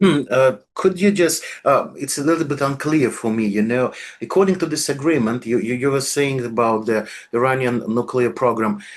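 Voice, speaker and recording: A man's medium-pitched voice with a Russian accent, at a moderate pace with ordinary pitch variation. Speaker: political scientist, channel host. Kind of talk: political interview. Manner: halting, searching for words.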